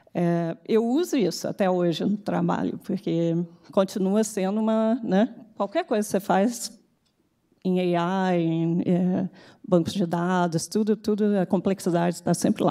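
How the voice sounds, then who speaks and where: In a Carioca accent, a woman speaks at a fairly slow pace with a dark, mellow tone. Her loudness is very even, her intonation fairly even, and the background is quiet. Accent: carioca Brazilian Portuguese. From Brazil, Rio de Janeiro. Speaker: tech executive; speaker. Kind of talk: conference talk. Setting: stage with audience. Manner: halting. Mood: reflective, warm. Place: hall. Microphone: podium.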